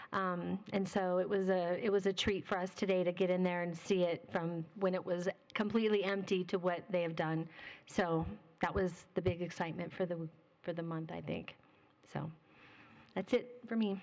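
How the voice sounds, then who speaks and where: Speaking at a moderate pace, a woman keeps a flat, monotone intonation at a medium pitch. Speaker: town council member. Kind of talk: public meeting discussion.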